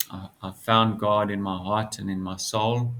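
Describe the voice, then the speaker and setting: This man's voice sits at a fairly low pitch. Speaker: spiritual video creator. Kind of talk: casual monologue to camera. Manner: halting, hesitant.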